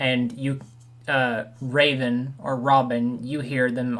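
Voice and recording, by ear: The text is read aloud. It comes in a natural voice.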